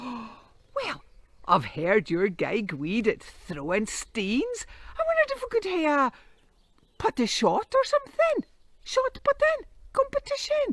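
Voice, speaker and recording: In a put-on character voice with a northeast Scottish accent, the speaker talks at a fairly slow pace and an extremely high pitch. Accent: Scottish Doric. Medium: read story. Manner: wheedling, mischievous.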